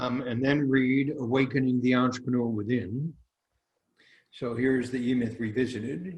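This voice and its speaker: A man at medium pitch talks at a moderate pace and sounds somewhat breathy. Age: 80s+. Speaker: business author. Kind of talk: interview. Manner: emphatic.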